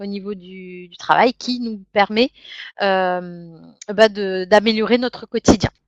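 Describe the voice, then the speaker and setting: Over a quiet background, a woman with fairly high pitch and ordinary pitch variation speaks very slowly in a dry, close sound with no echo. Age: 30s. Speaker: network marketing distributor. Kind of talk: sales pitch. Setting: web conference.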